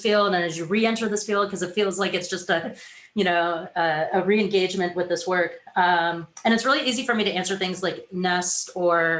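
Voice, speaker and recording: Fairly even intonation at a moderate pace with hardly any pauses. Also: woman. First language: not English. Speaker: design professional, panelist. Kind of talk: panel discussion.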